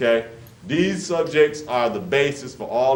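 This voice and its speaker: Speaking at a fairly slow pace, a man uses an unremarkable speaking voice with ordinary pitch variation. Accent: American. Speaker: workshop presenter for grandparents. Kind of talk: interactive community workshop talk, live to a room. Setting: church hall, live room recording.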